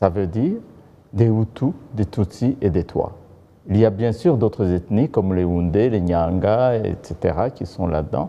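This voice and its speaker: With a Rwandan accent, a man speaks fairly slowly in a fairly low, dark, mellow voice with lively intonation. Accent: Kinyarwanda-accented French. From DR Congo, North Kivu (Masisi). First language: Kinyarwanda (speaking French). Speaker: political commentator. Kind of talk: TV interview.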